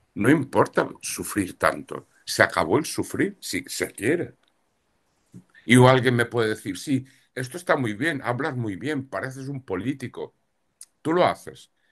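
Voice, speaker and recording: In a normal speaking voice of medium pitch, a man talks at a fairly slow pace with lively intonation against a quiet background. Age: 60s. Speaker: astrologer and tarot reader. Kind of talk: interview.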